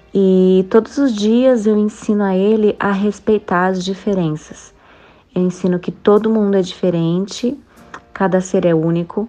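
A woman talks at a fairly slow pace with a dark, mellow tone. Her medium pitch holds fairly even intonation. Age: 30s. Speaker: mother. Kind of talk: testimony.

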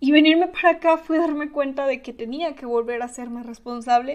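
Speaking at a high pitch, a woman uses ordinary pitch variation. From Mexico, Tabasco. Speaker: podcaster. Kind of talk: personal monologue. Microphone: new microphone.

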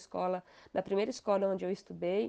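A woman's voice has a dark, mellow tone. The background is quiet. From Brazil, interior of Paraná. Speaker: author. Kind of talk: interview testimony.

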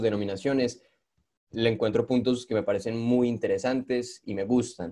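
In a dark, mellow tone, a man speaks at medium pitch with fairly even intonation. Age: young. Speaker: podcast host and video creator. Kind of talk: casual interview chat.

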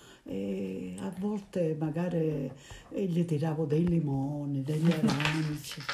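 A woman speaking at a very slow pace with very wide pitch swings. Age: 80s+. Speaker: grandmother. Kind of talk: interview. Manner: halting.

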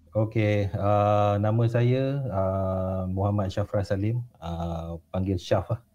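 Hardly any pauses break this man's very slow delivery. His fairly low voice has a dark, mellow tone and fairly even intonation. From Malaysia, Pahang. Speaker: guest storyteller. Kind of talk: casual storytelling interview.

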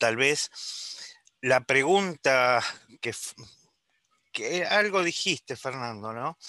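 A man speaks very slowly in a bright, sharp, fairly high voice with lively intonation. The sound is dry and close, with no echo and a quiet background. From Uruguay. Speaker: doctor and epistemology professor. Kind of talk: seminar discussion.

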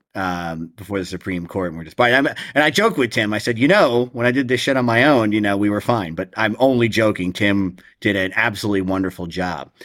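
The speaker has an unremarkable speaking voice with an American accent and ordinary pitch variation. The pace is fairly quick, with hardly any pauses. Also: man, fairly low pitch for a man, very clean recording, silent background. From New Jersey, Ocean County. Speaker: former criminal defense attorney in recovery. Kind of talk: interview, personal testimony.

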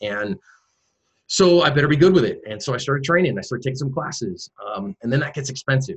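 A man with an American accent at a very fast pace, somewhat breathy, with a fairly high pitch and lively intonation. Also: dry, close sound with no echo. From US West Coast, San Francisco Bay Area. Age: 40s. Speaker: self-defense instructor and former pastor. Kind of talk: interview.

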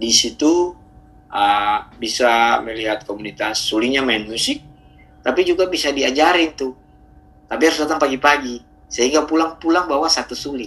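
A man's unremarkable speaking voice, fairly high in pitch, with ordinary pitch variation and a moderate pace. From Ambon, Maluku. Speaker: community founder and ukulele teacher. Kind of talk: casual interview. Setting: remote call.

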